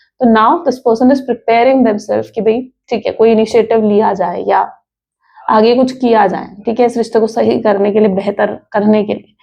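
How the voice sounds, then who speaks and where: Vocal fry at a moderate pace with fairly even intonation. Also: woman, fairly high pitch for a woman. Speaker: tarot reader. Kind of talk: tarot reading monologue. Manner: conversational, Hindi-English code-switching.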